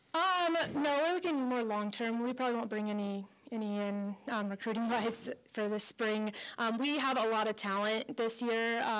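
In an American accent, a woman speaks at a moderate pace with very even loudness and ordinary pitch variation. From Colorado. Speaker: college softball head coach. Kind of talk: radio interview. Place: hall. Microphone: handheld.

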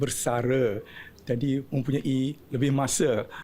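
A man speaks in a medium pitch with a dark, mellow tone and fairly even intonation. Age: 70s. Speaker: award recipient, retired auditor and community volunteer leader. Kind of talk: short interview soundbite. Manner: halting.

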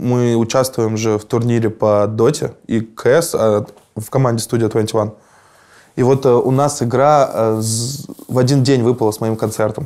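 Against a quiet background, a man speaks very slowly with a dark, mellow tone and fairly even intonation. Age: 30s. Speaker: musician; interviewee. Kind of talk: interview. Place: studio. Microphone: lapel.

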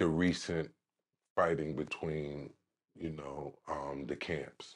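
A New York accent at a very slow pace, with monotone, flat intonation. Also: man. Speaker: podcast host. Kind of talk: interview. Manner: halting, many fillers.

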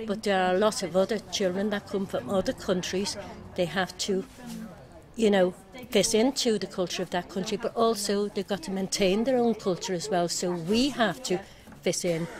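Here a woman speaks at a medium pitch. Noticeable background noise is present. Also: ordinary pitch variation, moderate pace. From Ireland. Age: 60s. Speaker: local resident. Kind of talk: street interview. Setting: outdoors.

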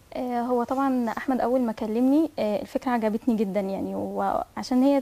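A woman's dark, mellow tone, high in pitch for a woman, with ordinary pitch variation. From Egypt, Cairo. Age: 20s. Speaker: voice actress; guest radio actress. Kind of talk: TV interview. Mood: cheerful, lightly amused. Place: studio.

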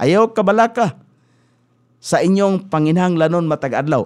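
A man speaks against a quiet background. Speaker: radio preacher. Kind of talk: radio sermon, Bible teaching. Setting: radio studio. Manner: earnest, exhortative, steady preaching cadence; formal, pastoral, mixes in English Bible verses. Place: studio. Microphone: studio mic.

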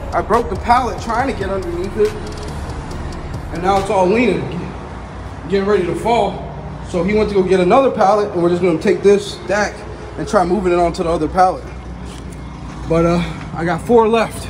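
Over noticeable background noise, a man talks at a fairly quick pace with a high pitch and fairly even intonation. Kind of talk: casual vlog chat. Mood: frustrated, complaining. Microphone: phone near.

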